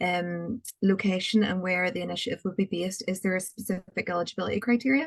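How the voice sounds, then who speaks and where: With a Northern Irish accent, a woman speaks at medium pitch. Her pace is very fast. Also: ordinary pitch variation, dry, close sound with no echo. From Northern Ireland. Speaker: applicant asking a question. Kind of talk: question at a webinar.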